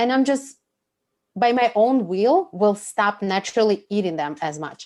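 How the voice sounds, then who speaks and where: With a Russian accent, a woman speaks at a fairly high pitch and with lively intonation. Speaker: food and pleasure coach. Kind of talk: podcast interview. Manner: animated.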